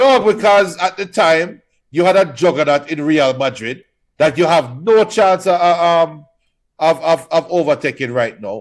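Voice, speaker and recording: Against a quiet background, a man speaks loudly at a fairly slow pace in a high pitch with lively intonation. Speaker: football podcast co-host. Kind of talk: casual chat.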